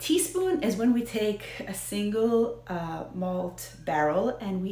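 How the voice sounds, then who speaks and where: Against noticeable background noise and audible room echo, a woman speaks at a very slow pace with an American accent. Her medium pitch moves in very wide swings. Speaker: whiskey video host. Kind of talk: casual educational talk to camera. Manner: hesitant, many fillers.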